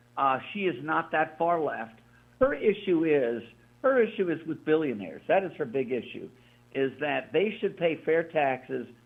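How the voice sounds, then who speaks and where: A man's unremarkable speaking voice, fairly high-pitched, with lively intonation at a moderate pace. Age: 60s. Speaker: radio co-host. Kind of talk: talk radio discussion.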